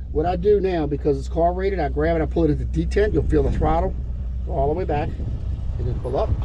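A man's very deep, low pitch at a very fast pace and fairly even intonation, with noticeable background noise. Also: dry sound with no echo. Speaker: flight instructor. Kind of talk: instruction. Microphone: headset.

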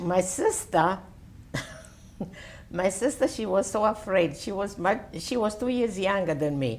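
In an Italian accent, a woman talks at a fairly slow pace with lively intonation and long, frequent pauses. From Italy. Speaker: World War II orphanage survivor; interviewee. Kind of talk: oral history interview answer. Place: home room. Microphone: lapel.

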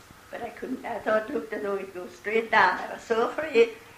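A woman with an American accent at a fairly high pitch and moderate pace, with light background noise and audible room echo. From Eastern Pennsylvania, USA. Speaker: great grandmother interviewee. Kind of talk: oral history interview answer. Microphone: old recording.

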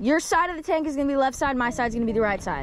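Over clear background noise, the speech races at a very fast pace with lively intonation. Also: woman, high pitch for a woman.

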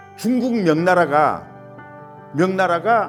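Music plays in the background while a man talks very slowly. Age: old. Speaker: village elder, great-grandson of a local independence figure. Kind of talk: interview answer.

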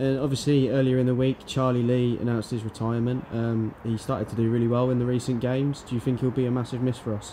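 A man talks at a fast pace with few pauses and little pitch movement. His voice is medium in pitch with a dark, mellow tone.

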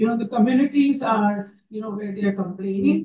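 A woman speaks with an Indian accent. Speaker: NGO leader. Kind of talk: panel discussion.

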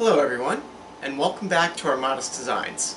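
Light noise sits in the background. Over it, a man talks at a moderate speed. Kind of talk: tutorial. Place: workshop.

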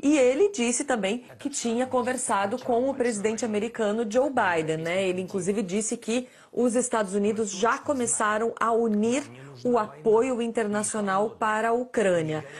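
Somewhat breathy and very even in loudness, a woman speaks at a moderate pace in a fairly high pitch with ordinary pitch variation. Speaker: foreign correspondent. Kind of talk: live TV news report. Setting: live link from New York. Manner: formal, steady, detailed.

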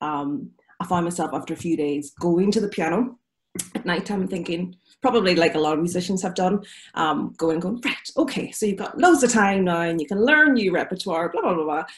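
A woman with a Derry accent, a fairly low pitch, a somewhat breathy voice, lively intonation and a fairly quick pace, over a quiet background. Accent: Northern Irish (Derry). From Northern Ireland, Derry. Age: 40s. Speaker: concert pianist. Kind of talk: casual chat. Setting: video call. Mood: reflective, personal, open. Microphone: video call.

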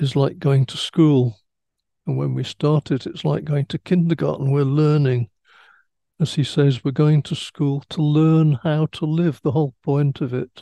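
A man's dark, mellow tone at a fairly slow pace, with fairly even intonation, dry sound with no echo and a quiet background. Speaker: religious teacher or study leader. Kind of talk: religious teaching talk. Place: home room. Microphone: headset.

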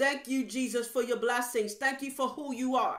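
A woman with a high pitch speaks in a monotone, flat intonation over a quiet background. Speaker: evangelist preacher. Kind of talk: fervent prayer; sermon. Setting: online video to viewers. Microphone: webcam.

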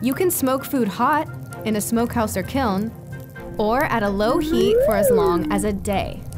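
Over music in the background, a woman speaks at a moderate pace with a fairly high pitch, lively intonation and very even loudness. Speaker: narrator. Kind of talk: educational narration.

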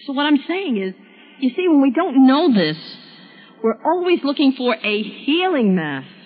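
Over music in the background, a speaker with an American accent swings very widely in pitch and leaves long, frequent pauses. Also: woman, high pitch for a woman, moderate pace. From US Northeast, Brooklyn, New York. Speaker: speaker on spiritual deliverance. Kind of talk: testimony. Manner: authoritative.

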